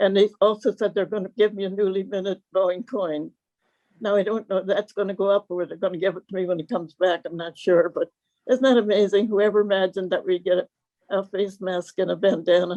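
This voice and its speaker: A woman speaks at a very fast pace in an American accent, her pitch medium and her intonation fairly even. Her tone is dark and mellow, and the sound is dry and close with no echo. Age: 90s. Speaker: WWII veteran worker. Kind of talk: interview.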